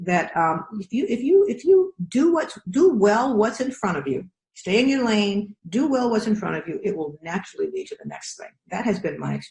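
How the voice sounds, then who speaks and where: A woman's fairly high voice with very wide pitch swings, an animated tone, big jumps in loudness and hardly any pauses. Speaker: professor. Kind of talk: interview. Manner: fast.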